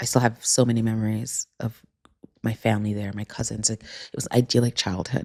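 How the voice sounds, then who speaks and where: A woman with a New York accent speaks at a fairly quick pace in a very deep, low pitch and monotone, flat intonation. The sound is dry and close with no echo. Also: big swings in loudness. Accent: New York American. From Jamaica, then New York from age four. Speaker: author and podcast host. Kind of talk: casual conversation interview. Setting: recorded in person in Paris.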